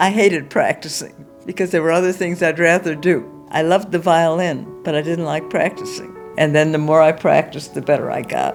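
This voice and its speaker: Music runs in the background as a woman talks at a fairly quick pace. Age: 80s+. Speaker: amateur violinist. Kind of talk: interview answer.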